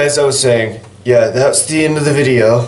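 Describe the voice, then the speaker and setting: A man's voice comes through audible room echo, with noticeable background noise behind it. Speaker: gaming YouTuber. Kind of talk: casual vlog. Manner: rambling, halting with fillers.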